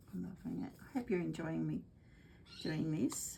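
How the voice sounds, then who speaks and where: With an Australian accent, the speaker keeps a moderate pace. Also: woman. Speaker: craft demonstrator. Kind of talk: craft tutorial livestream. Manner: goes quiet when concentrating; casual, chatty.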